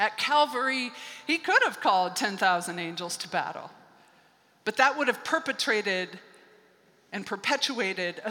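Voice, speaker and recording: A woman with a fairly high pitch and lively intonation speaks at a moderate pace as noticeable background noise continues behind her. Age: 50s. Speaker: pastor. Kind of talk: sermon. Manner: conversational, with laughter.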